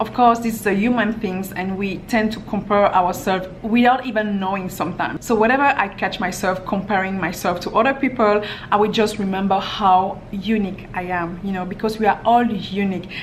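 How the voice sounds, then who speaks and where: A woman with a French accent at a medium pitch, fairly quick pace and fairly even intonation, amid noticeable background noise and audible room echo. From France. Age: young. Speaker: lifestyle vlogger. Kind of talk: Q&A vlog.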